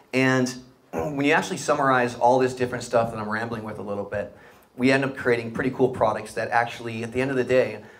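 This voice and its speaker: Speaking very fast with an American accent, the man is heard with audible room echo and noticeable background noise. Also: medium pitch for a man. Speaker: startup founder and CEO. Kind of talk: live interview on stage. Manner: animated.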